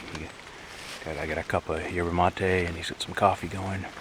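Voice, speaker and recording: Over noticeable background noise, a man speaks in a very deep, low pitch at a moderate pace. His intonation is monotone and flat. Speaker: backpacking vlogger. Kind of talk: casual vlog narration. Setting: outdoors. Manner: quiet.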